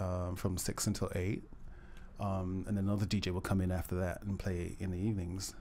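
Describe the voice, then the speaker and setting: A man's very deep, low voice with a dark, mellow tone and monotone, flat intonation. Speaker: DJ. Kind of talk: casual interview.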